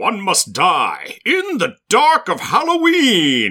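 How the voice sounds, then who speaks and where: A man uses a put-on character voice at an extremely high pitch. He speaks at a very slow pace. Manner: dramatic, theatrical narration.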